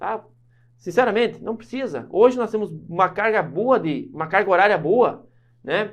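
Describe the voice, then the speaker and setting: A man is shouting with lively intonation at a moderate pace. His pitch runs high. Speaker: law teacher for civil service exams. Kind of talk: online lecture. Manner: loud, shouts a lot; animated.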